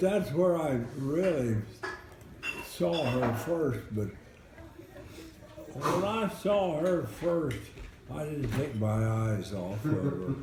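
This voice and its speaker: The voice swings very widely in pitch and moves at a very slow pace. Long pauses come often, over noticeable background noise. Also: man, fairly high pitch for a man. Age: 90s. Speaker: war veteran. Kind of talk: casual storytelling to family. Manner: halting, repeats words.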